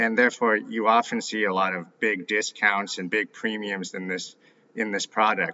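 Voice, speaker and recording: With a normal speaking voice, a man talks at a fairly slow pace in a fairly low pitch. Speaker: ETF analyst guest. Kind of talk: interview.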